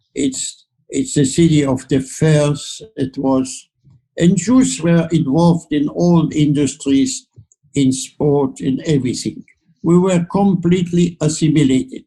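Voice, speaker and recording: A man with a German accent, fairly high in pitch, with ordinary pitch variation, a dark, mellow tone, a somewhat breathy quality and a fairly slow pace. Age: 80s+. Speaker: Holocaust survivor. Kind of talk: interview answer.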